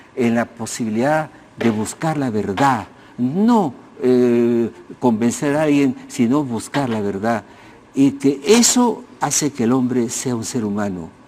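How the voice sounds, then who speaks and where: Against noticeable background noise, a man speaks at a very slow pace with medium pitch and ordinary pitch variation. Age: 80s+. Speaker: sociologist and historian. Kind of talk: TV interview. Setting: TV studio. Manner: halting, with many restarts.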